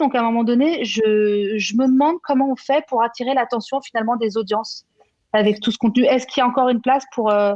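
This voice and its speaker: At a fairly quick pace, a woman with a high voice speaks with very even loudness and ordinary pitch variation. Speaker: conference moderator. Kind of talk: conference panel discussion. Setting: trade show conference. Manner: fast.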